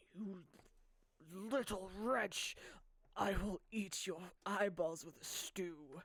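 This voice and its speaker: A raspy, put-on character voice at middle pitch moves at a very slow pace. Long pauses come often. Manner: sneering, menacing.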